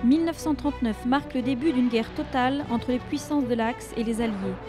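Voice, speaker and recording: Over music in the background, a woman speaks fairly quickly at a high pitch with ordinary pitch variation. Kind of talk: documentary narration.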